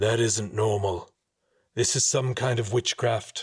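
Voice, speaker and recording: A man uses a put-on character voice, raspy and medium in pitch. He talks at a fairly slow pace with fairly even intonation. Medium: read story. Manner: terse, blunt.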